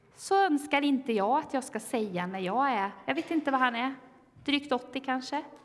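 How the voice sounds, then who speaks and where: A woman speaks in a high voice at a moderate pace, her intonation lively. Noticeable background noise runs under the recording. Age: 40s. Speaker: pastor. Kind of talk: sermon.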